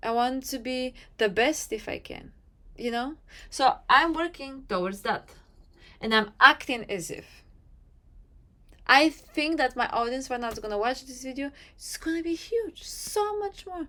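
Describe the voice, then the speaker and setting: In a non-native accent, a woman projects a raised voice with a bright, sharp tone, very wide pitch swings, big swings in loudness, a moderate pace and long, frequent pauses. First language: not English. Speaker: manifestation coach, YouTuber. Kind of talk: motivational talk to camera.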